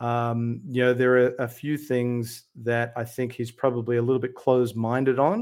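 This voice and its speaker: In a very clean recording with a silent background, a man with an Australian accent speaks at a moderate pace and medium pitch, in a monotone, flat intonation with hardly any pauses. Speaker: UAP researcher and YouTuber. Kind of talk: casual interview.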